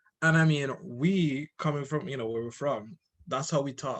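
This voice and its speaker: Somewhat breathy, a man with a fairly high pitch speaks with lively intonation. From Antigua and Barbuda. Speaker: podcast co-host. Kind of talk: casual chat.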